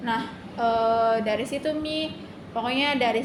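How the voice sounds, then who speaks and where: The speech comes at a moderate pace with fairly even intonation, amid noticeable background noise and audible room echo. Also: woman. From Indonesia, Kalimantan. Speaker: university student. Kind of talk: interview testimony. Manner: halting, many fillers.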